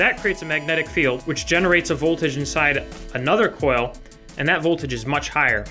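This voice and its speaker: Music sounds behind the speaker. The man talks fairly quickly. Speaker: maker. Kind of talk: casual build tutorial to camera. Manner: relaxed, hesitant.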